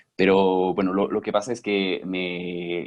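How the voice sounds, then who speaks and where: A man with a very deep, low voice and a slight French accent. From French Basque Country. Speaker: former startup employee, webinar panelist. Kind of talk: webinar panel talk. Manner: halting, many repetitions.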